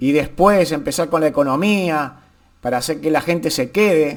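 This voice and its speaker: A man's fairly high voice rises and falls with lively intonation. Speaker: YouTuber, political commentator. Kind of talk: casual vlog commentary. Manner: slow; halting, repetitive.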